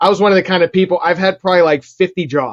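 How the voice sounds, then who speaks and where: Very fast speech in a Pittsburgh accent, the sound dry and close with no echo. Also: man. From Pittsburgh, Pennsylvania (Bethel Park). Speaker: real estate investor and digital marketing agency founder. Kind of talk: interview conversation. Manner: casual, filler-heavy.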